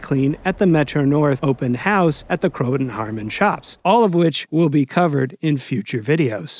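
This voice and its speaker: An ordinary speaking voice, a man's at a fairly high pitch, comes at a moderate pace with lively intonation. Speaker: railfan video narrator. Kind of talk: documentary voiceover narration. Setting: college radio station studio, muffled with background buzz.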